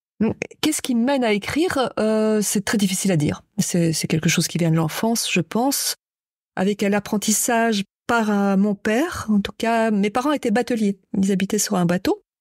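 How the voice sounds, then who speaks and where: A woman's fairly high voice at a moderate pace, with ordinary pitch variation and very even loudness, dry and close with no echo in a very clean recording with a silent background. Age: 60s. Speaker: writer and poet. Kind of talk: interview. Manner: halting.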